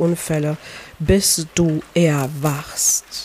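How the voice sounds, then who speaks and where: The pitch sits fairly low for this woman. She speaks with flat, monotone intonation. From Poland. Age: 30s. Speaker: podcast host and life coach. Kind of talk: personal monologue. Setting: outdoors by a lake.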